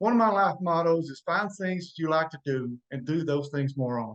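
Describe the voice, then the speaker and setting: A normal speaking voice from a man, pitched fairly high, with ordinary pitch variation and a moderate pace. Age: 50s. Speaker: podcast guest. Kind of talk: casual chat.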